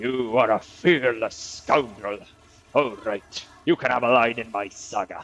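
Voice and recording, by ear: With lively intonation, the voice is reading aloud in a natural voice.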